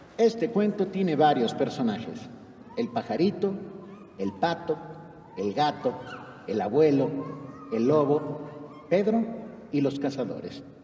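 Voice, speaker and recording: A man's fairly high voice with very wide pitch swings, very slow pace and long, frequent pauses, over noticeable background noise. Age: 60s. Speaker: concert narrator. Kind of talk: live narration to children. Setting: concert hall stage with audience. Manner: animated.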